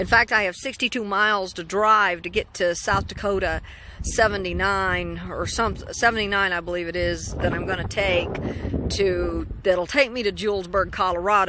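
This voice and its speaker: Amid noticeable background noise, a woman speaks with vocal fry at a moderate pace and fairly even intonation. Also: dry sound with no echo. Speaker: solo road trip vlogger. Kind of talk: casual vlog chat. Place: street. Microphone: phone near.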